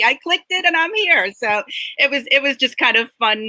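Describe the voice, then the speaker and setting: With an American accent, a woman speaks in a raised, projected voice at a high pitch, with a bright, sharp tone, a moderate pace, and a dry, close sound with no echo. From Connecticut, US Northeast. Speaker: self-care coach and author. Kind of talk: interview podcast.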